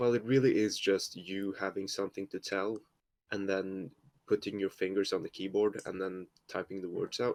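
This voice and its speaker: Fairly even intonation in a Norwegian accent at a moderate pace, with a dry, close sound and no echo. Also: man, fairly low pitch for a man. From Norway. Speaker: fanfiction writer. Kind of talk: casual chat.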